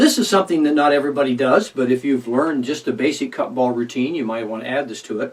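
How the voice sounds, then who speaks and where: The speaker is a man with a fairly high pitch. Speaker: magician. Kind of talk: tutorial. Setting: alone in a room recording. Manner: fast.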